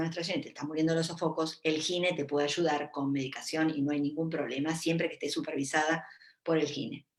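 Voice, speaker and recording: With music in the background, a woman with a Rioplatense accent speaks fairly quickly in a very deep, low voice with fairly even intonation. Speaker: gynecologist. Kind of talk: live Q&A talk. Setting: Facebook live stream. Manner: casual, with many fillers.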